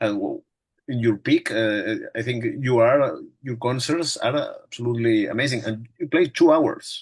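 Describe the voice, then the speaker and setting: A man speaks at a fairly slow pace at a medium pitch, his voice somewhat breathy. His pitch varies in an ordinary way against a quiet background. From Spain, Barcelona. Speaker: music interviewer. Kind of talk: interview. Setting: video call. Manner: halting.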